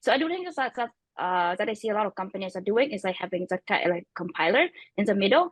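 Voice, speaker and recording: Very fast speech in a non-native accent. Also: woman. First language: not English. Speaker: tech startup co-founder. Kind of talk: panel discussion. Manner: halting, many fillers.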